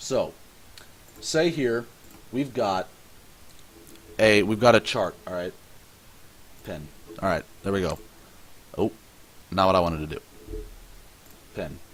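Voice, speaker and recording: A man speaks at a fairly slow pace with lively intonation. Long pauses come often. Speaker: forex trading instructor. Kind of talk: tutorial. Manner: halting, self-correcting; casual.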